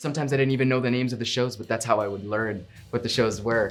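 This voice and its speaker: A man speaks at a medium pitch with fairly even intonation. Music plays in the background. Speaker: voice actor. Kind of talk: interview answer.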